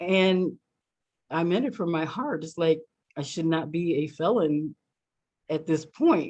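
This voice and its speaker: A woman with an American accent, fairly low in pitch, very slow, with long, frequent pauses. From US Midwest, Ohio. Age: 60s. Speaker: anti-trafficking advocate. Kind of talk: webinar talk. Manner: halting, many fillers.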